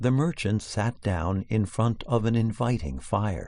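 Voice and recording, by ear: Pitch varies in an ordinary way as the words are read aloud in a natural voice.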